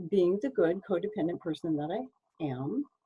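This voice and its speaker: A woman speaks fairly slowly, her voice somewhat breathy. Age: 60s. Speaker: court reporter and hypnotherapist giving a conference talk. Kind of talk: conference talk. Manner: conversational.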